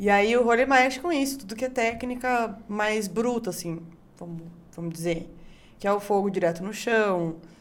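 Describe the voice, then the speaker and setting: A woman speaks with a strong São Paulo interior accent at a fairly high pitch and a moderate pace. Her pitch varies in an ordinary way, and the room echo is audible. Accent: strong local Itu countryside. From Brazil, Itu (São Paulo interior). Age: 20s. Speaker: barbecue chef. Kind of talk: casual chat. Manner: animated.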